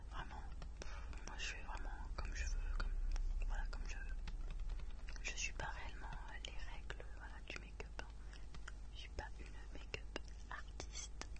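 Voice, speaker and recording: Long, frequent pauses break up a woman's fairly slow speech. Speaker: ASMR creator. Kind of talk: ASMR makeup collection presentation. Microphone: studio mic.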